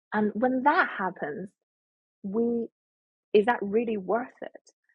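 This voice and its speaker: A woman with a Chinese accent and a fairly high pitch. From China, Shandong province. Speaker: etiquette and life skills educator. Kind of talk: interview.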